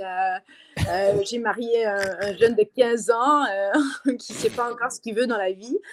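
A woman with a fairly high voice talks very slowly, her pitch rising and falling in an ordinary way. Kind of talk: casual interview.

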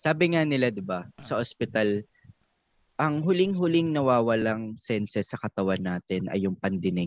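A man talks at a moderate pace and medium pitch, his pitch swinging very widely. The sound is dry and close with no echo, over a quiet background. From Philippines. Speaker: podcast co-host, music industry person. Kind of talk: casual chat.

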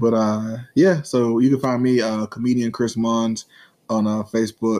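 Speaking at a moderate pace, a man with a fairly low pitch keeps a slightly mellow tone and shows little pitch movement.

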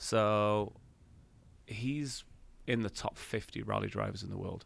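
Speaking with an English accent, a man keeps a fairly slow pace and ordinary pitch variation. Everything sits in a very clean recording with a silent background. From England. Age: 50s. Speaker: podcast co-host. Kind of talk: casual chat.

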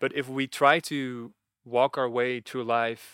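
A man with a Dutch accent speaks at a medium pitch. His intonation is monotone and flat. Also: very clean recording, silent background. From Netherlands. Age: 30s. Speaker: retreat facilitator. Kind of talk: casual interview.

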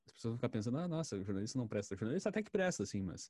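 Against a very clean recording with a silent background, a man with a dark, mellow tone and vocal fry swings very widely in pitch. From rural Brazil. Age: 20s. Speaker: journalist. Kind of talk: casual chat.

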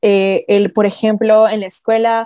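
Her voice fairly high yet dark and mellow in tone, a woman speaks in a monotone, flat way. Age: 20s. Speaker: podcast guest. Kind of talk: casual chat.

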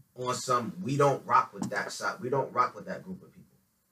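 Lively intonation at a moderate pace, with an American accent. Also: man. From New Haven, Connecticut. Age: young. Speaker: rapper. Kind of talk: casual interview.

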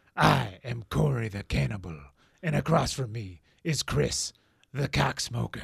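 A man puts on a character voice with a menacing tone. It is pitched very deep and low and moves at a fairly slow pace.

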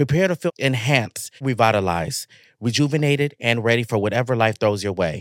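A man's normal speaking voice at medium pitch, fairly quick, with ordinary pitch variation, a dry, close sound with no echo, and a very clean recording with a silent background. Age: 20s. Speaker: podcast co-host. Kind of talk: casual chat.

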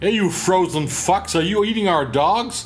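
Bellowing in a high-pitched, put-on character voice, a man speaks at a moderate pace. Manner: bellowing, friendly.

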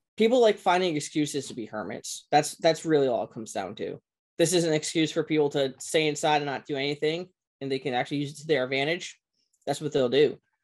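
Delivered at a very fast pace, the speech has ordinary pitch variation and big swings in loudness over a quiet background. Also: man, fairly high pitch for a man. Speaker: history teacher. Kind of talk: casual chat. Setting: video call.

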